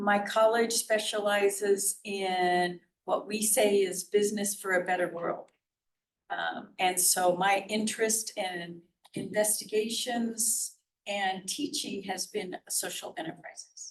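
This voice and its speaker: A woman's voice at medium pitch, with fairly even intonation and a very slow pace. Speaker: business professor. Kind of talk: panel discussion.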